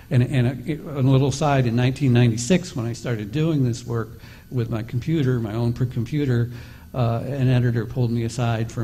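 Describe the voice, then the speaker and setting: A man speaks at a fairly quick pace with a medium pitch and a dark, mellow tone. His voice is somewhat breathy, and his intonation stays fairly even. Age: 60s. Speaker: investigative reporter. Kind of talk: panel discussion.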